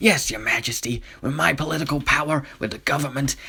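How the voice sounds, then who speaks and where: Someone uses a raspy, put-on character voice. The pace is fairly quick. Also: man, fairly high pitch for a man. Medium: read story. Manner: smug, self-assured.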